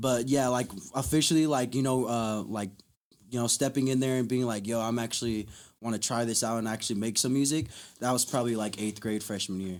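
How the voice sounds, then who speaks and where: An unremarkable speaking voice with an American accent, a fairly quick pace and fairly even intonation, in a very clean recording with a silent background. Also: man, medium pitch for a man. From Las Vegas, US. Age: 20s. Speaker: musician. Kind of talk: casual chat.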